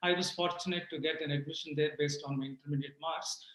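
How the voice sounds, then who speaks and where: Amid noticeable background noise, a man with a Telugu accent speaks at a fairly high pitch. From rural Andhra Pradesh / Telangana, India. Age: 60s. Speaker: retired IT executive. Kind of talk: interview.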